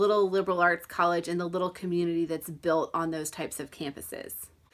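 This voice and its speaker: In a Southern US accent, a woman speaks at medium pitch with fairly even intonation on a very clean recording with a silent background. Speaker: book reviewer. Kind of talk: book review vlog.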